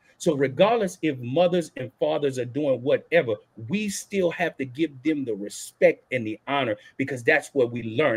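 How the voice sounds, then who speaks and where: With a New Orleans accent, the speaker moves at a moderate pace with lively intonation, in a dry, close sound that has no echo. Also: man. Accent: New Orleans Southern US. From US South, New Orleans, Louisiana. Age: 40s. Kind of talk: panel discussion.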